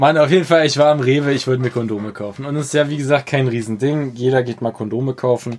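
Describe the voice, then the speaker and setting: A man speaks at a very fast pace with hardly any pauses. His medium-pitched voice keeps a fairly even intonation. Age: 20s. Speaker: podcast co-host. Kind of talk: casual chat.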